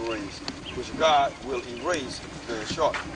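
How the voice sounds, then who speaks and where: The voice has ordinary pitch variation, heard through audible room echo and noticeable background noise. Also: man. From Mississippi. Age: 30s. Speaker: religious video maker. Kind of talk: documentary tour commentary.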